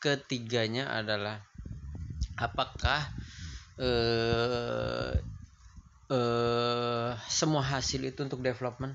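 A man speaks with a medium pitch. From Indonesia. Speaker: YouTuber answering viewer questions. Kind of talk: casual Q&A monologue. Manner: halting, many fillers.

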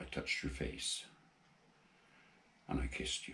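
With vocal fry and a Gloucestershire accent, a man speaks at a fairly slow pace over light background noise. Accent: Forest of Dean. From England, Forest of Dean, Gloucestershire; England. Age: 80s+. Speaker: amateur poet. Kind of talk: poetry reading; personal introduction. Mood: tender, mournful. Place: home room.

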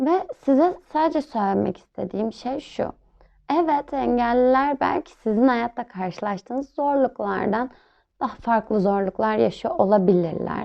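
Lively in intonation, a woman with a normal speaking voice and a fairly high pitch talks at a fairly slow pace. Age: 20s. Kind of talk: interview answers, monologue.

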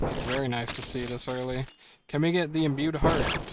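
Amid noticeable background noise and audible room echo, a man talks in a relaxed tone with ordinary pitch variation. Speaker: video game streamer. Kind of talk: casual live stream commentary while gaming. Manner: relaxed, casual with filler words.

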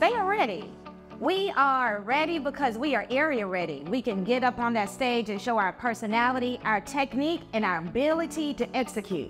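Clear music plays behind a woman with a high pitch. She speaks at a moderate pace. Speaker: dance coach. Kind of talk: coach addressing students and confessional interview. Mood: confident, motivating. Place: hall.

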